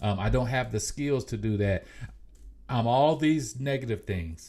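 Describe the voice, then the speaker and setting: The voice is somewhat breathy, with ordinary pitch variation and a moderate pace. The recording is very clean, with a silent background. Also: man. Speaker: podcast host. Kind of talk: motivational talk. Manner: halting, repeats words.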